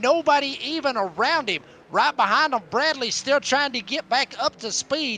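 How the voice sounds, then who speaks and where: A man's raised, projected voice at an extremely high pitch, dry and close with no echo. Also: ordinary pitch variation, moderate pace. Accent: Southern. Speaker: sim racing color commentator. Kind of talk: live commentary.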